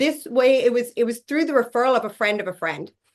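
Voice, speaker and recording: This voice has ordinary pitch variation. It comes with an Irish accent. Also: woman. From Ireland. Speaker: network marketing leader, former physiotherapist. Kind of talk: interview.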